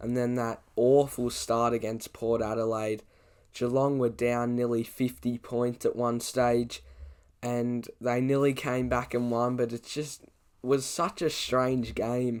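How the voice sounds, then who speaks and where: A man's very slow, monotone, flat delivery at a medium pitch, in an Australian accent. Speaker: sports YouTuber. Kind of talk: casual commentary vlog.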